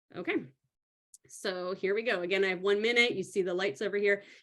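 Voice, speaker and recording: A woman's medium-pitched voice with ordinary pitch variation, at a very fast pace. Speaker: powerlifting coach. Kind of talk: live stream tutorial. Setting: live video stream with screen share. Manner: animated.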